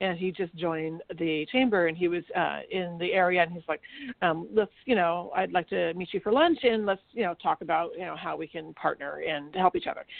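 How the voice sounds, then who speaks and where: A woman with a normal speaking voice talks at a fairly quick pace in a fairly low pitch, with ordinary pitch variation and hardly any pauses. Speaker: chamber of commerce co-host. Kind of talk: radio talk show banter.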